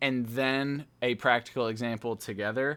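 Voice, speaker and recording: A man with a plain, everyday voice speaks at a medium pitch and a fairly slow pace on a very clean recording with a silent background. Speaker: automation engineer and YouTube educator. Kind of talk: tutorial. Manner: casual with filler words.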